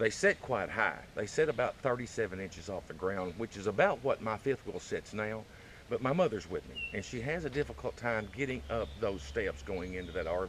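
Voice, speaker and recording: A man with a Southern US accent, medium pitch, very wide pitch swings and a moderate pace. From Arkansas. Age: 50s. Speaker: vlogger. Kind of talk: casual chat. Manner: halting, many fillers.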